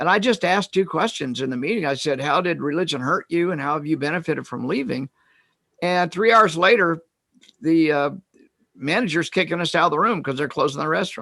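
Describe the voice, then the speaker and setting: This man has a fairly high pitch and a bright, sharp tone. His pitch variation is ordinary. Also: fairly quick pace. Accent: Midwestern US. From Kansas. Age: 70s. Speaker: retired psychologist and author. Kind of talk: interview. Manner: halting.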